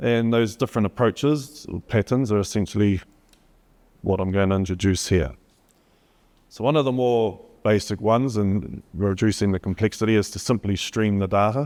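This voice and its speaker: A man with a New Zealand accent speaks at a moderate pace. His pitch is fairly low, with ordinary variation. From New Zealand, Gisborne. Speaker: HPC company solutions presenter. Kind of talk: conference talk.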